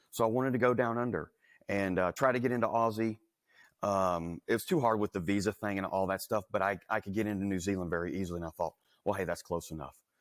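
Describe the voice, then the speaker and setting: In a Southern US accent, the speaker talks at a very fast pace with ordinary pitch variation, the sound dry and close with no echo. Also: man, fairly low pitch for a man. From US South, Louisiana. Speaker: entrepreneur. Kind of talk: interview. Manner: casual, conversational.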